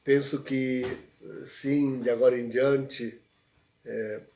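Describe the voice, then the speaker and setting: A man's dark, mellow tone at a very slow pace. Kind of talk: livestream talk. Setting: livestream. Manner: soft-spoken; halting.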